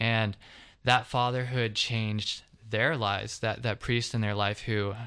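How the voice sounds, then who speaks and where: With a quiet background, a man speaks in an American accent at a moderate pace, his fairly low voice flat and monotone. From US South, Georgia (Covington). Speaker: seminary applicant. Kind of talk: testimony. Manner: halting, many fillers.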